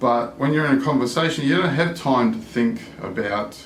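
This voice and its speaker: At a moderate pace, a man speaks with an Australian accent over audible room echo. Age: 60s. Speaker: language learner vlogger. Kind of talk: casual vlog monologue.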